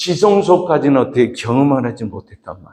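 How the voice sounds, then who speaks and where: This man has a fairly high pitch, a dark, mellow tone and very wide pitch swings, and he talks at a fairly quick pace. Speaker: pastor. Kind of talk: sermon.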